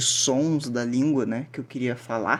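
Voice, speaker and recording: With an ordinary speaking voice, a man talks at medium pitch and ordinary pitch variation. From southern Brazil. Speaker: language teacher. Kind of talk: lecture. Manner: casual, filler-heavy.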